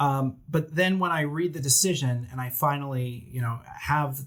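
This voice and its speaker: Speaking with a New Jersey accent, a man uses a fairly high pitch and ordinary pitch variation. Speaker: attorney. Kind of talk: casual chat. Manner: animated.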